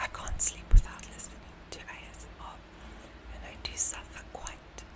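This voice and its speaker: Loud background noise surrounds the speaker. A woman talks at a fairly slow pace. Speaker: ASMR content creator. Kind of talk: ASMR whisper ramble. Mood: friendly, slightly nervous. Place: home room. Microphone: studio mic.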